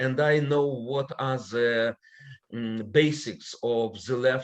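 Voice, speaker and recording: This man has a non-native accent and talks at a medium pitch with ordinary pitch variation. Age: old. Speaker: political scientist. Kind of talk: panel presentation.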